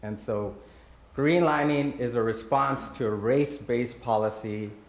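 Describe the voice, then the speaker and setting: Over noticeable background noise, a man with an American accent speaks at a medium pitch with ordinary pitch variation. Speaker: nonprofit president, panel speaker. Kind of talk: personal talk at community event.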